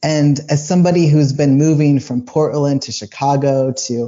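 A man with an unremarkable speaking voice and a fairly high pitch speaks at a moderate pace. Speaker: patient sharing personal medical story. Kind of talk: podcast interview.

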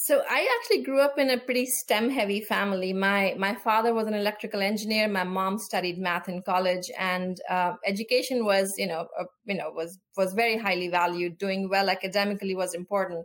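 Talking at a fairly quick pace with hardly any pauses, a woman uses a medium pitch, ordinary pitch variation and a plain, everyday voice. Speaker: space policy official. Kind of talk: interview conversation.

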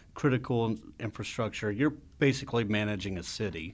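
A normal speaking voice, a man with an American accent talks at a moderate pace with ordinary pitch variation on a very clean recording with a silent background. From Texas. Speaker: podcast host. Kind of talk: casual interview.

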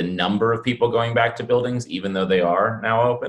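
Here a man with a medium pitch and ordinary pitch variation has an unremarkable speaking voice. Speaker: podcast host. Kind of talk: interview conversation.

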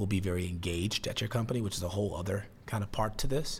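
A man with an American accent talks at a fairly quick pace. His voice is somewhat breathy. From US Midwest, Chicago (south side). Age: 30s. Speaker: startup CEO. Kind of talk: interview.

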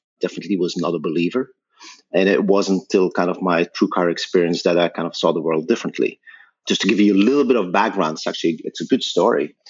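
A man with a Belgian accent and ordinary pitch variation. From Belgium. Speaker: tech company founder and CEO. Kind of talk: interview.

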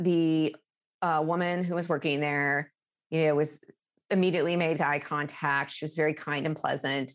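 Woman with a very deep, low pitch, monotone, flat intonation and a moderate pace, on a very clean recording with a silent background. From Alaska, small town in the center of the state. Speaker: customer service executive. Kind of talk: interview.

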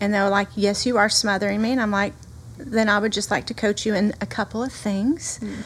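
The speaker is a woman with a medium pitch. She talks in a Southern US accent. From US South. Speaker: pastor. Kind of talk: casual chat.

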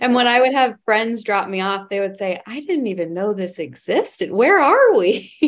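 Here is a woman with a plain, everyday voice. She uses lively intonation at a moderate pace. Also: fairly high pitch for a woman. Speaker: development director and podcast host. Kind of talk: casual interview.

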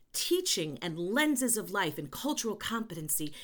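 A woman with a New York accent speaks at a moderate pace in a fairly high, animated voice whose pitch swings very widely, on a very clean recording with a silent background. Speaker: educator and consultant. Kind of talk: interview conversation. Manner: loud.

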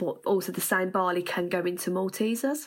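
A woman with a fairly low voice speaks with a Birmingham accent at a moderate pace and with ordinary pitch variation. The recording is very clean, with a silent background. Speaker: farming skills development worker. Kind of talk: interview.

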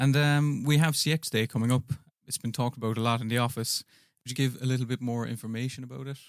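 Very fast speech in an Irish accent with monotone, flat intonation, recorded very cleanly against a silent background with a dry, close sound and no echo. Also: man, medium pitch for a man. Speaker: podcast host and interviewer. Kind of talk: interview. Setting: studio.

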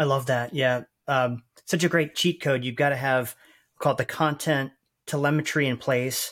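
This man has an ordinary speaking voice, fairly high in pitch, with fairly even intonation at a moderate pace. The recording is very clean, with a silent background. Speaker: podcast host interviewer. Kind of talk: interview.

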